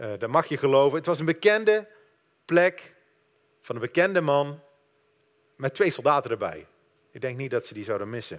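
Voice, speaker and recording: A man with a fairly high pitch speaks at a moderate pace, with very wide pitch swings, big swings in loudness, and long, frequent pauses. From Netherlands. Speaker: lay preacher. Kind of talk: sermon.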